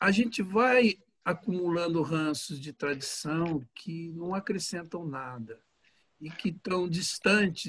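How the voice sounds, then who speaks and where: This man has a normal speaking voice, a fairly high pitch and lively intonation, and he talks at a fairly slow pace. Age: 60s. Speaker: pastor. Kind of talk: casual chat.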